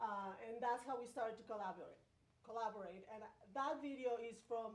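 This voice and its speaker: With a Spanish accent, a woman speaks in a fairly high pitch, with audible room echo and noticeable background noise around her. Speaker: pedestrian advocate. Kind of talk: presentation at community meeting.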